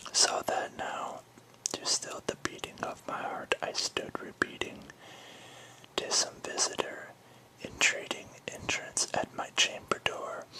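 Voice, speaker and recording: Someone whispers in a soothing tone at a fairly slow pace, leaving long, frequent pauses. Noticeable background noise sits behind the voice. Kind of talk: poetry reading. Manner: whispered, soothing.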